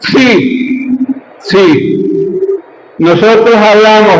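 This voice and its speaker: A man talks with lively intonation. Audible room echo and noticeable background noise fill the recording. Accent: Venezuelan Andean. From Venezuela, Andes region (gocho). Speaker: lecturer on gnosticism. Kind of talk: lecture.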